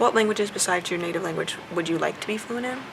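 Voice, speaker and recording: Against noticeable background noise, a woman speaks quietly at a very fast pace. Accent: American. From US South. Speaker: vlogger. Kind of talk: casual chat. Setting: airport.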